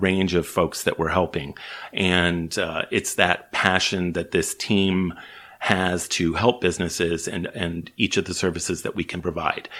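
A man's very deep, low voice in a Chicago accent, monotone and flat, at a fairly slow pace in a very clean recording with a silent background. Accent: Chicago American. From US Midwest, Chicago. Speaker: small business organization CEO. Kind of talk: interview.

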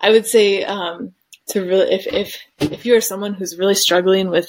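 With an American accent, a woman has a plain, everyday voice, talking at medium pitch and a moderate pace. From Detroit, US Midwest. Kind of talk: testimony.

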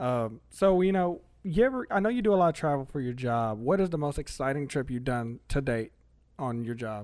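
In an American accent, a man with an unremarkable speaking voice talks at a fairly quick pace with a fairly high pitch and lively intonation. The recording is very clean, with a silent background. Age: 30s. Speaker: podcast host, air conditioning technician. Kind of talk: casual interview chat. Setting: studio.

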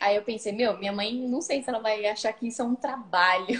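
Somewhat breathy female speech, fairly high-pitched, delivered at moderate speed. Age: 20s. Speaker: tattoo artist. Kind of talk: casual chat. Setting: video call.

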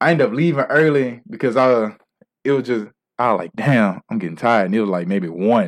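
A man's plain, everyday voice, medium in pitch, with lively intonation and a fairly quick pace. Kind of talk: casual chat.

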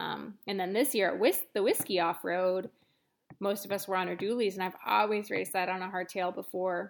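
Recorded very cleanly over a silent background, a woman with an American accent speaks at a moderate pace and a medium pitch, with vocal fry and fairly even intonation. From Montana. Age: 30s. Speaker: mountain bike racer. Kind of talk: casual interview.

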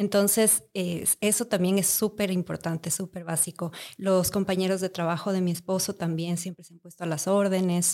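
A woman with a dark, mellow tone and medium pitch speaks at a moderate pace, with hardly any pauses and monotone, flat intonation. Her loudness swings widely on a very clean recording with a silent background. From Ecuador, Quito. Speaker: mother living abroad. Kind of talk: casual chat.

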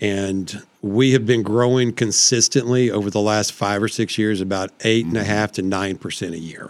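Speaking with a Texan accent, a man keeps a moderate pace and fairly low pitch, using fairly even intonation and hardly any pauses. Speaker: city councilman. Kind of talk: casual chat.

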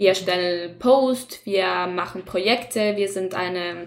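A woman's medium-pitched voice with a Spanish accent. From Chile. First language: Spanish (speaking German). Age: 20s. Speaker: student podcast host. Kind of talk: casual chat.

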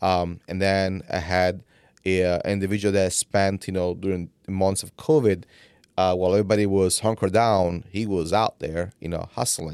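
The speaker has an Italian accent and a moderate pace with fairly even intonation. The recording is very clean, with a silent background. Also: man, very deep, low pitch for a man. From Italy. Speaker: economic development executive. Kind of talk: interview conversation.

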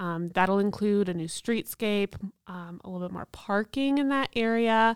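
A woman's ordinary speaking voice, medium in pitch with ordinary pitch variation, at a moderate pace, with big swings in loudness, in a dry, close sound with no echo. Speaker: downtown main street director. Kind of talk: interview.

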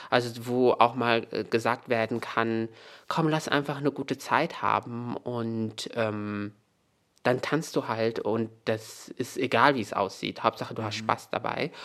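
His pitch sits in the medium range. This man's intonation holds fairly even. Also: fairly slow pace. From Morocco, Meknes. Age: 30s. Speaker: author. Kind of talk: interview.

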